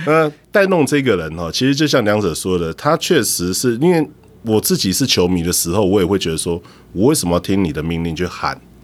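Here a man talks at a fairly quick pace with fairly low pitch. His pitch swings very widely. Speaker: baseball cheer squad drummer. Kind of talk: casual interview chat.

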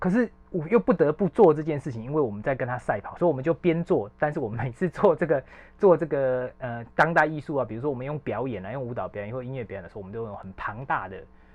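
Talking very fast with hardly any pauses, a man at medium pitch uses lively intonation and big swings in loudness. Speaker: arts editor. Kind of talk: casual chat.

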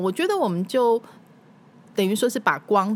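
Over noticeable background noise, a woman with a fairly high voice speaks at a fairly quick pace with very wide pitch swings. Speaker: former TV news anchor and food show host. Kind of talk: casual interview chat.

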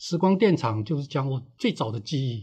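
A man's somewhat breathy voice comes through against a quiet background. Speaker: author and veteran editor. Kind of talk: interview. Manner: unhurried, leisurely; halting, with fillers.

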